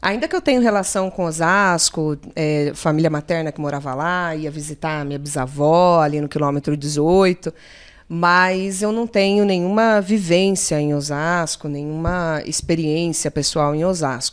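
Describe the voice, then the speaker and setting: A woman with a normal speaking voice talks at a fairly slow pace and fairly low pitch, with ordinary pitch variation and hardly any pauses, on a very clean recording with a silent background. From São Paulo state interior (Limeira). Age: 30s. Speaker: public cultural program coordinator. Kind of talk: casual chat.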